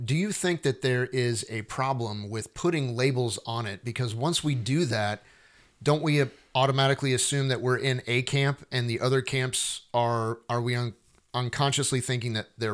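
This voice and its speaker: A man with an ordinary speaking voice, medium pitch and ordinary pitch variation, at a moderate pace in a very clean recording with a silent background. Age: 40s. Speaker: podcast co-host. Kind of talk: casual theological discussion.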